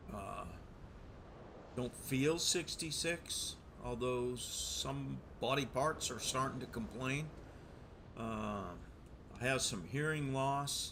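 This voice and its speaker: Talking at a very slow pace, a man leaves long, frequent pauses while audible room echo surrounds his voice. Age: 60s. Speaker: gaming streamer, Navy veteran. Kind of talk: gameplay commentary. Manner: hesitant, many fillers; relaxed, casual.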